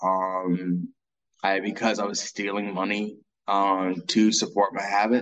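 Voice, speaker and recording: The man's fairly low voice moves at a fairly slow pace in a monotone, flat way. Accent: American. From US South, Columbia, South Carolina. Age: 40s. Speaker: person in addiction recovery. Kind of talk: testimony. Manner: halting.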